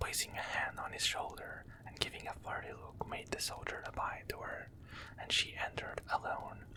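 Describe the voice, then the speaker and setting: Someone whispers at a moderate pace, with noticeable background noise in the recording. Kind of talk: ASMR story reading. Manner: whispered, soft-spoken.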